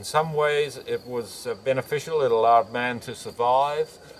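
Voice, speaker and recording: Over noticeable background noise, a man with an Australian accent speaks at a fairly slow pace. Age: 70s. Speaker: naturopath and chiropractor. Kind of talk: interview answer.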